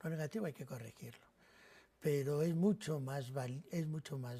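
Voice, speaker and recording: A man talks at a moderate pace in a dark, mellow tone that is somewhat breathy, with ordinary pitch variation. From Spain, Madrid (Carabanchel); born in Navarra. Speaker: priest. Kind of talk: TV interview.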